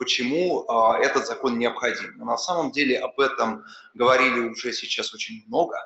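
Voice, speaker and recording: Room echo can be clearly heard on this recording. The man speaks at a moderate pace. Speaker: business association adviser; speaker. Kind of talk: panel talk. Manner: formal. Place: hall. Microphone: podium.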